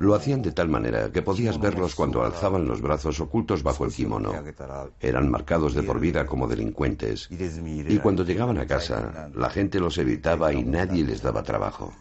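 A man speaks at a very deep, low pitch with vocal fry. His pitch swings very widely at a moderate pace. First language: Japanese (speaking Spanish). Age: 70s. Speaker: yakuza legal adviser and martial arts master. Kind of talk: documentary interview.

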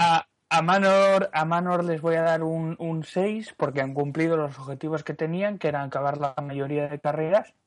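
A man with a normal speaking voice, fairly high in pitch, at a moderate pace with hardly any pauses and fairly even intonation. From Asturias, Spain. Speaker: podcast panelist. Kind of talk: casual chat.

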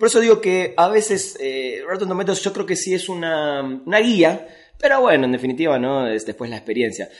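Delivered at a fairly quick pace, a plain, everyday voice carries lively intonation. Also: man. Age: 40s. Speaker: film critic and writer. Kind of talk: casual chat.

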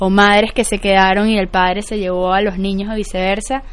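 Her delivery moves at a moderate pace as a woman talks in a medium pitch. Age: 20s. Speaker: social entrepreneur. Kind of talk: interview. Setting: radio studio. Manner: halting.

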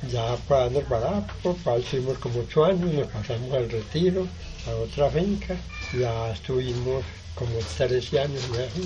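Over noticeable background noise and audible room echo, a man speaks at a moderate pace in a medium pitch with lively intonation. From Valle del Cauca, Colombia (Sevilla). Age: 70s. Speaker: farmer. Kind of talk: testimony.

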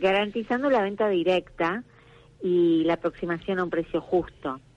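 A woman speaks fairly slowly at a fairly low pitch, her pitch varying in an ordinary way. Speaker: director of a traditional crafts market. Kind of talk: radio interview. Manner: hesitant, with many fillers.

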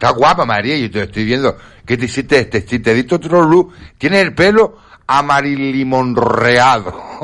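With an unremarkable speaking voice, a man talks at a moderate pace in a medium pitch, using lively intonation. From Canary Islands. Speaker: entertainer and radio panelist. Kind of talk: casual chat.

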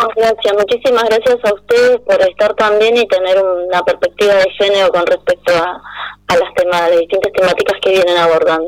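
A woman talks at a fairly quick pace in a plain, everyday voice of medium pitch. Her loudness is very even, and the sound is dry and close with no echo. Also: fairly even intonation. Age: 40s. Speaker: feminist activist. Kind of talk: radio interview.

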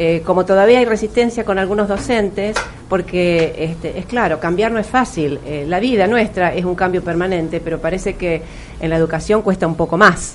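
Over noticeable background noise, a woman talks at a moderate pace at medium pitch, with ordinary pitch variation. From Argentina, Río de la Plata region. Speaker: English teacher and educator. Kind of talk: interview.

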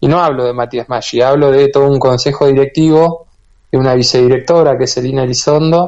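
A man with a Rioplatense accent speaks in a fairly high pitch. His pace is moderate and his intonation fairly even. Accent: Argentine Spanish (rioplatense). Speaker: bee health researcher and institute director. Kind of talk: radio interview.

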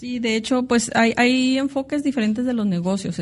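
A woman's dark, mellow, somewhat breathy voice at a moderate pace, with ordinary pitch variation. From Mexico, Tijuana (Baja California). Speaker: international business consultant and entrepreneur. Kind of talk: interview. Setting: office.

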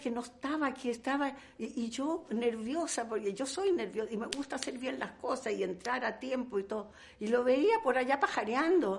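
Her pitch is high and swings very widely as this woman talks at a fairly slow pace. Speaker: actress. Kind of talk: interview. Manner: animated.

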